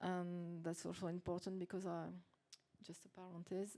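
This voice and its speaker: A woman talks in a non-native accent. Her tone is dark and mellow. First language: not English. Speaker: French teacher; workshop participant. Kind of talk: casual group discussion. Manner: halting.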